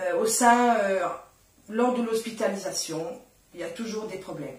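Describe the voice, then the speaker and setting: A woman speaks at a medium pitch. Audible room echo and noticeable background noise accompany her voice. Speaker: sign language interpreter and nursing assistant. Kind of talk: radio interview.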